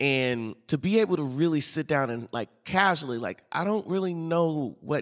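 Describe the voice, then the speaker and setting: Heard in a very clean recording with a silent background and a dry, close sound with no echo, a man with an American accent talks at a fairly slow pace, fairly high in pitch with lively intonation. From St. Louis, US Midwest. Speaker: podcast host interviewing guests. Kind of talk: casual interview conversation.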